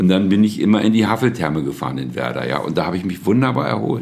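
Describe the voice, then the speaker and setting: A man's very deep, low voice with vocal fry, at a very fast pace. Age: 70s. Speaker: family caregiver, recently widowed. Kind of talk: interview testimony.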